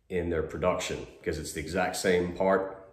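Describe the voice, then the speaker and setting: Audible room echo surrounds a man whose very deep, low voice moves at a fairly quick pace. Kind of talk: tutorial. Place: garage. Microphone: phone near.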